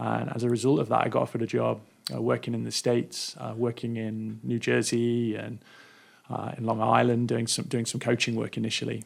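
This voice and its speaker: This man speaks at a fairly quick pace. He has an English accent. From England, Derby (Midlands). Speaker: nonprofit education worker. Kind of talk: radio interview. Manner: halting, many repeated words.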